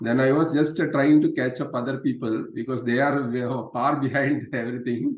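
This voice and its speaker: With a Kerala accent, a man talks at a moderate pace and medium pitch, keeping his intonation fairly even. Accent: Malayali. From Kerala, India (Thrissur). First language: Malayalam. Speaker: meetup group coordinator. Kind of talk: casual chat. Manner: halting.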